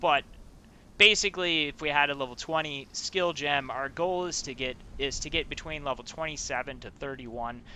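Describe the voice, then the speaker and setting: This man has a fairly high pitch with ordinary pitch variation. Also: big swings in loudness. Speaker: gaming content creator. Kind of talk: game build tutorial. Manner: fast; casual, many filler words.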